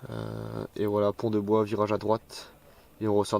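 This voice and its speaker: A man with a fairly low pitch. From France. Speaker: mountain biker. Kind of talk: trail commentary voice-over.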